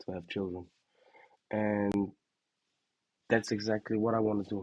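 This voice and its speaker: A man at a moderate pace. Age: 20s. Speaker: vlogger. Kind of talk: personal vlog monologue. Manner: repetitive, stammering restarts.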